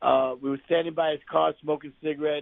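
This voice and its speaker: This man talks fairly quickly, in a New York accent. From New York City (Bronx). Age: 60s. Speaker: actor. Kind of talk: interview. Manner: animated.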